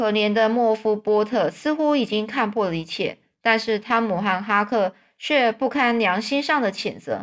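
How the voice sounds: Here is a natural reading voice with ordinary pitch variation.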